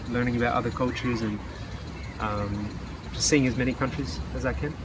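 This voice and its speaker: A man of medium pitch speaks with an Australian accent. Both room echo and background noise are noticeable. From Western Australia. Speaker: English teacher and traveler. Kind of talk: interview. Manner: halting.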